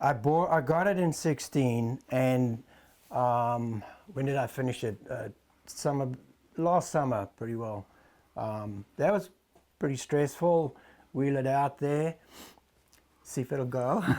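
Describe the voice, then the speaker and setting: Speaking in a South African accent at a very slow pace, the voice has ordinary pitch variation and long, frequent pauses. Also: man, medium pitch for a man. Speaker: motorcycle restorer, former tack store owner. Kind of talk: casual interview.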